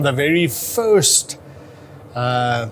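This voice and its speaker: Noticeable background noise sits behind a man speaking with ordinary pitch variation. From South Africa. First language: Afrikaans. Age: 50s. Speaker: amateur historian. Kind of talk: interview.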